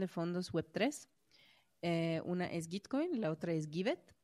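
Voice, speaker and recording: A woman with a Mexican accent and a dark, mellow tone, in a very clean recording with a silent background. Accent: sounds Mexican in Spanish. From Croatia. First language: Croatian (speaking Spanish). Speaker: web3 community organizer. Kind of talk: interview.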